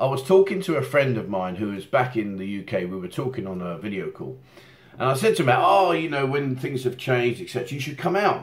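Pitch swings very widely as a man talks at a fairly quick pace. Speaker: channel host. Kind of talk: casual vlog chat. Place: home room.

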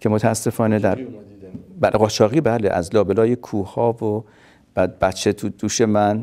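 Fairly low and dark, mellow in tone, a man's voice moves at a fairly slow pace. His intonation stays fairly even, broken by long, frequent pauses. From Kurdistan, Iran (Qorveh, near Sanandaj); Iran. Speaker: refugee telling life story; interviewee. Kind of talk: testimony. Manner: halting. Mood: calm, reflective. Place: home room.

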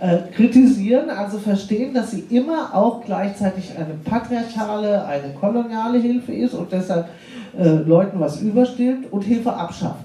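Against noticeable background noise, a woman talks at a moderate pace with a fairly high pitch. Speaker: aid organization representative. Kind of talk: panel discussion.

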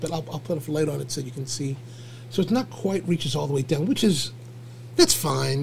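Light background noise underlies a man speaking at a moderate pace with ordinary pitch variation. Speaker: livestream host. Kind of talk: casual livestream chat. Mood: relaxed, cheerful. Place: home room.

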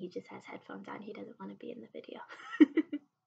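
Her voice somewhat breathy, the woman talks at a moderate pace. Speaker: vlogger. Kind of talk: casual vlog chat. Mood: gentle, reassuring, a bit hesitant. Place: home room. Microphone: webcam.

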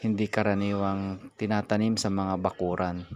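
At a very slow pace, a man speaks in a fairly low pitch, the sound dry with no echo. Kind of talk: tutorial. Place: garden.

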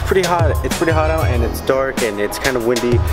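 Music plays clearly in the background behind a man speaking. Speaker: car vlogger. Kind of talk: casual vlog chat. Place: garage. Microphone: phone near.

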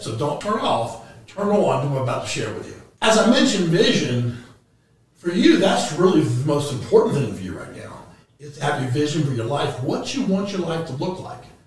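A man is speaking. The recording has audible room echo and light background noise. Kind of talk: presentation to clients.

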